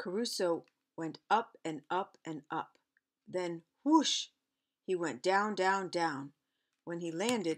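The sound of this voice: The voice is an unforced reading voice with ordinary pitch variation, set against a quiet background.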